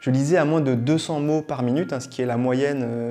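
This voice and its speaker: A man talks at a fairly quick pace with fairly even intonation while music plays in the background. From Réunion. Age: 30s. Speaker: YouTuber, nutrition and wellbeing creator. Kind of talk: casual vlog, year review. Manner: casual, many filler hesitations.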